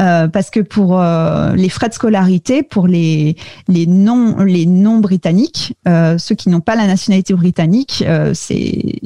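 A woman at medium pitch, very slow pace and very even loudness, with noticeable background noise. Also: ordinary pitch variation, dry, close sound with no echo. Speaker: podcast producer, French expatriate. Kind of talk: interview. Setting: video call. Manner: hesitant, many fillers.

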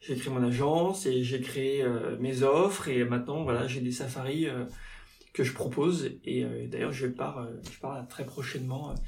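A man speaks at medium pitch and a fairly slow pace, his intonation fairly even. The recording carries noticeable background noise and audible room echo. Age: 30s. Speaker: journalist and safari guide. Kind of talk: casual interview. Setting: in-person studio conversation. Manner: halting, many fillers.

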